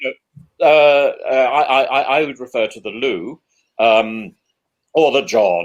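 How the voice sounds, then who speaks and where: Speaking at a very slow pace with a slight English accent, a man shows big swings in loudness. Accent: slightly plummy English. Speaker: professor and Anglican priest, show host. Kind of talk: casual chat. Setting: live video stream. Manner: stammering, many repeated words.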